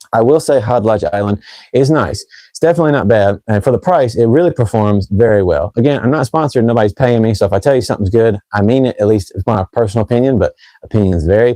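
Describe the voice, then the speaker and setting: At a very fast pace, a man speaks in a dark, mellow tone at medium pitch. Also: ordinary pitch variation. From North Carolina. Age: 30s. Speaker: fragrance reviewer. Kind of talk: live stream chat. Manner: casual.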